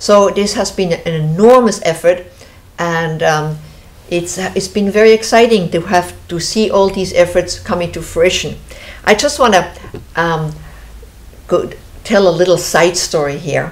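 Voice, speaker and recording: Speaking at a fairly slow pace with long, frequent pauses, a woman with a Swiss accent uses a fairly low pitch and ordinary pitch variation. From Switzerland. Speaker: show host, founder of river conservation group. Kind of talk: casual interview chat. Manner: halting, many fillers.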